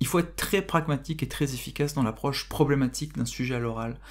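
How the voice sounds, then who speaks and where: Moderate pace in a very clean recording with a silent background. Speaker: philosophy teacher. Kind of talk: tutorial. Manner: halting.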